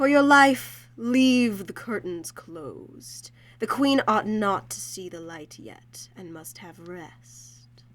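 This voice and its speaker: A put-on character voice, female-sounding and medium-pitched, with very wide pitch swings, a very slow pace and hardly any pauses. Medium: audio drama.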